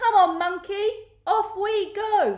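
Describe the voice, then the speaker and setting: A woman puts on a character voice. It is squeaky, with an extremely high pitch. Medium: read story.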